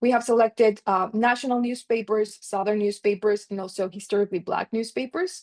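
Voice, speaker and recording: A woman talks fairly quickly with hardly any pauses, her pitch fairly high and its variation ordinary. It is a plain, everyday voice, and the sound is dry and close with no echo. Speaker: economics researcher presenting a paper. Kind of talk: conference paper presentation.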